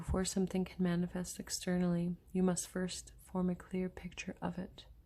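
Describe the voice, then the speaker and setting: A woman talks at a moderate pace. She is soft-spoken, with a gentle tone. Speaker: oracle card and crystal healing reader. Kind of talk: oracle card reading / channeled healing guidance. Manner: soft-spoken, gentle.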